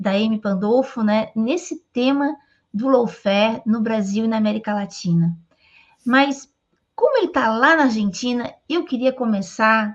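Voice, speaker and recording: A somewhat breathy woman talks at a fairly slow pace, her fairly high pitch carrying lively intonation. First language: Portuguese (speaking Spanish). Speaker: interviewer. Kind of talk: interview.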